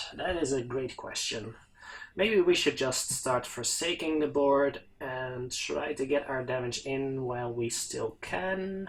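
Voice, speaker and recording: A man talks at a very slow pace, his voice somewhat breathy. His pitch sits in the medium range. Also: ordinary pitch variation. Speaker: gaming commentator. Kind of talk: gameplay commentary. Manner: halting.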